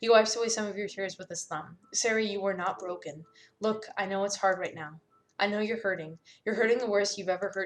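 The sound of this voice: It is an unforced reading voice. The intonation stays fairly even.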